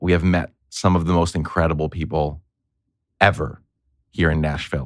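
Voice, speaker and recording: In a Northeastern US accent, a man with a very deep, low pitch speaks at a moderate pace in a very clean recording with a silent background. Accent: Northeastern US way of talking. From grew up overseas, from New York. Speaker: podcaster and consultant. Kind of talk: interview conversation. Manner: animated; casual, swears.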